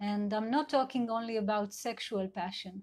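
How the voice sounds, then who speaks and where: The speaker has an Israeli accent, a somewhat breathy quality and ordinary pitch variation. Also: woman. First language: Hebrew. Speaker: sex and couple therapist. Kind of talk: live talk. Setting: online live video session. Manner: halting, many fillers.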